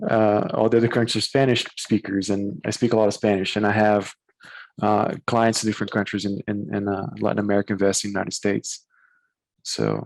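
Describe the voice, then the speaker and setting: A fairly low-pitched man with a Portuguese accent, fairly quick in pace and monotone, with flat intonation. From Brazil. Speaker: corporate attorney. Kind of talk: casual interview. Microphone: bandwidth issues.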